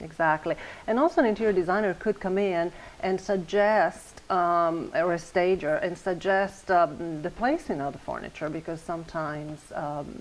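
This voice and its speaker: Speaking with an Italian accent, a woman has a fairly low pitch and ordinary pitch variation. Her pace is moderate. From Italy, Padova. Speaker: interior designer. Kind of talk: interview. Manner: hesitant, many fillers.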